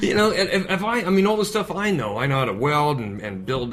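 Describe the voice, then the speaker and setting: A man talks fairly quickly in an American accent, with noticeable background noise and audible echo from the room. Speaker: comedian. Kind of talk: casual chat. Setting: cafe over coffee. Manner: animated.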